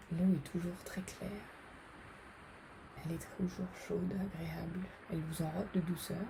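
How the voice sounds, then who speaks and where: At a fairly slow pace, the voice has a calm tone and monotone, flat intonation with long, frequent pauses. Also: woman, fairly low pitch for a woman. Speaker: psychologist and meditation guide. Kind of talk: guided meditation. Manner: slow, calm, relaxing.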